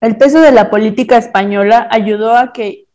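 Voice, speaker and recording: A woman's voice with a dark, mellow tone. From Mexico City. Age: 20s. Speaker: university student. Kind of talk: reading aloud.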